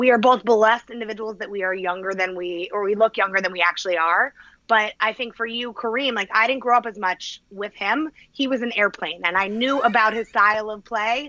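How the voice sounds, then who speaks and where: Her tone bright and sharp, a woman talks at a fairly quick pace with a fairly high pitch and ordinary pitch variation. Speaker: sneaker and sports podcast co-host. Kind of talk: casual chat. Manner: animated.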